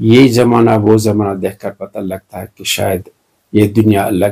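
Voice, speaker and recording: A man's fairly low, dark, mellow voice carries vocal fry and ordinary pitch variation. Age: 70s. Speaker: retired doctor. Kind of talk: interview. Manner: halting.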